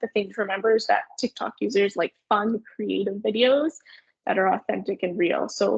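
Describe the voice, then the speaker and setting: A woman talks at a fairly quick pace, her medium pitch showing ordinary variation and some vocal fry. The sound is dry and close, with no echo. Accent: Canadian. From Canada, Sudbury Ontario. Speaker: marketing agency owner. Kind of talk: webinar presentation. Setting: online webinar. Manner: fast.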